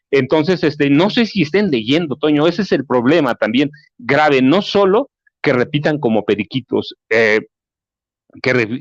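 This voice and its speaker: A man talks at a moderate pace with a fairly high pitch and ordinary pitch variation. The background is quiet. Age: 60s. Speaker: journalist and author. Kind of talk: interview. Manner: halting, many fillers.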